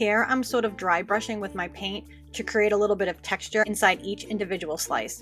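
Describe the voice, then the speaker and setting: A woman with an American accent talks at a fairly quick pace. Her intonation is fairly even, and music plays in the background. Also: medium pitch for a woman. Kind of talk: nail art tutorial voice-over. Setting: home recording, new microphone.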